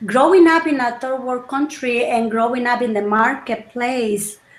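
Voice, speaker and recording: A woman's high-pitched voice amid audible room echo and noticeable background noise. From El Salvador. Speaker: wellness coach. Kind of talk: interview chat.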